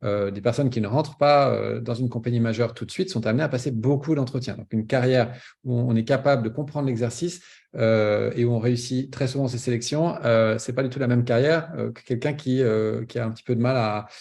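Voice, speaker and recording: Somewhat breathy, the man's voice has a dark, mellow tone. His intonation is fairly even, and the background is quiet. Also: medium pitch for a man, fairly quick pace. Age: 50s. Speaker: pilot recruitment coach. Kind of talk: webinar presentation. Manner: hesitant, many fillers.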